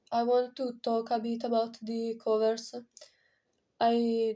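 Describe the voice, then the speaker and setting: A woman with a non-native accent speaks at a very slow pace in a monotone, flat intonation. Her pitch is fairly high, her tone dark and mellow. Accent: non-native English, pronunciation off. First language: not English. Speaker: indie singer-songwriter vlogger. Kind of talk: casual vlog talk. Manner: halting, many fillers.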